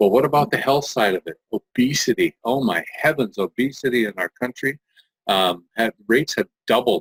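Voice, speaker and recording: A plain, everyday voice from a man at medium pitch, with ordinary pitch variation, a moderate pace and a dry, close sound with no echo. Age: 60s. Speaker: multi-level marketing distributor. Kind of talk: sales pitch.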